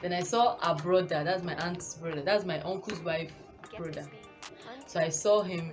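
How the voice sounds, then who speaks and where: With clear music in the background, a woman speaks at a fairly low pitch and with fairly even intonation. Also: moderate pace. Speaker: vlogger. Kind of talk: casual vlog storytelling. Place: home room. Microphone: phone near.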